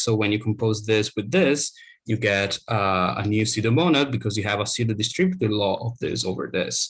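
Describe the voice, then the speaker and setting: A somewhat breathy man with a fairly low pitch, ordinary pitch variation and a fairly quick pace. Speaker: academic researcher. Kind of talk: lecture. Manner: fast.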